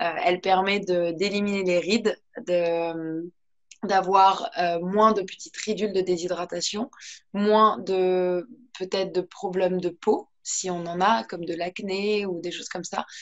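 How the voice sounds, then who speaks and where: A woman's voice at a very slow pace, with fairly even intonation. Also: medium pitch for a woman. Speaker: yoga teacher. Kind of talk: guided yoga class. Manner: soft-spoken.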